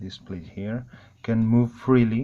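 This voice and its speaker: A man of medium pitch with a non-native accent, over noticeable background noise. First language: not English. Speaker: airsoft hobbyist. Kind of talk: tutorial. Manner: halting.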